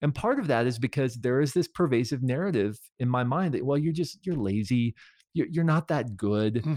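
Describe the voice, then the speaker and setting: A man talks at a moderate pace in a plain, everyday voice, medium in pitch with lively intonation and very even loudness over a quiet background. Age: 40s. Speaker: author and creativity speaker. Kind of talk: interview.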